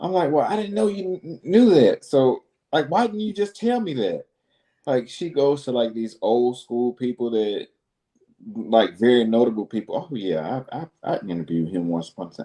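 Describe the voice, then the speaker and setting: In a Southern US accent, a man speaks at a medium pitch with a dark, mellow tone. His pitch swings very widely. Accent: Southern drawl. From Alabama, Birmingham. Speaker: business consultant and show host. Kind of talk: casual interview chat. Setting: live video stream. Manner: animated.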